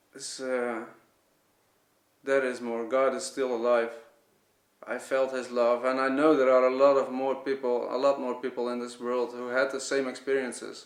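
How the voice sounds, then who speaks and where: Pausing long and often, a man with a Dutch accent speaks at a moderate pace and medium pitch in a flat monotone. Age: 30s. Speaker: vlogger. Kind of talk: testimony. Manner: halting.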